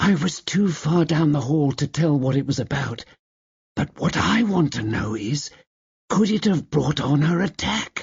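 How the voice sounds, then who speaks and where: A man whispers in a put-on character voice at a moderate pace. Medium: read story. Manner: hushed, confiding whisper.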